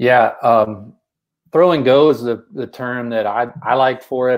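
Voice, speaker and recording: The speaker has a Texas accent and ordinary pitch variation. It is a very clean recording with a silent background. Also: man. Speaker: basketball coach and show co-host. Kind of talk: coaching discussion explaining plays. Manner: repeats words, many false starts.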